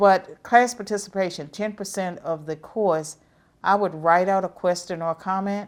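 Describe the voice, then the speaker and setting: In a very clean recording with a silent background, a woman with a Southern US accent and medium pitch talks at a moderate pace with fairly even intonation. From US South. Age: 70s. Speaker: professor. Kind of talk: interview.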